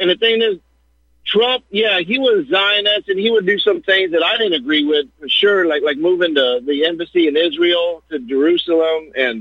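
At a moderate pace, a man with a high pitch talks with lively intonation. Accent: American. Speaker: caller. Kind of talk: call-in commentary. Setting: phone call. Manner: jokey, conversational.

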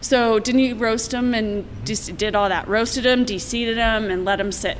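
Heard through noticeable background noise and audible room echo, a woman with an American accent speaks with fairly even intonation. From Colorado, Littleton/Lakewood area. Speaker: brewery co-owner. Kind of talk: casual chat.

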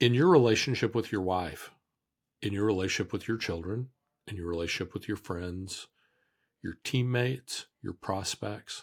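The recording is very clean, with a silent background. A man talks at a moderate pace in an unremarkable speaking voice, with ordinary pitch variation. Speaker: sales speaker and entrepreneur. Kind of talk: interview.

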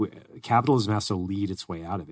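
A man with an American accent speaks at a fairly low pitch with ordinary pitch variation in an ordinary speaking voice. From US state outside Arizona. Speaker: podcast co-host. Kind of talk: casual chat. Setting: studio.

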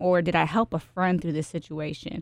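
In a very clean recording with a silent background, a woman talks in a normal speaking voice at a moderate pace, her fairly low pitch showing ordinary variation. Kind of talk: casual interview chat.

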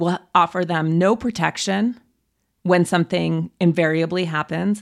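A woman with a plain, everyday voice talks at a fairly slow pace, her fairly low pitch held in fairly even intonation, on a very clean recording with a silent background. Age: 40s. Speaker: author. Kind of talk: casual chat.

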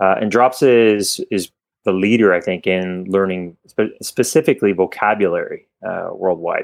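A man with a Canadian accent speaks at a moderate pace in an ordinary speaking voice. His pitch is fairly low, with ordinary variation. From Canada. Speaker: company executive. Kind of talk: casual interview.

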